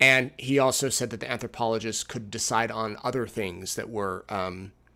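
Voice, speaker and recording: In a very clean recording with a silent background, a man speaks at a moderate pace in a bright, sharp tone with fairly even intonation. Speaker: TV reporter and show host. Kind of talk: live recap show. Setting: hotel room.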